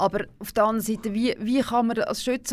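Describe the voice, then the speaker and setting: A woman speaks at a moderate pace with ordinary pitch variation, in a normal speaking voice. The recording is very clean, with a silent background. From Switzerland, canton Aargau. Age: 60s. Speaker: former national politician. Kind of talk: radio interview. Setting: studio.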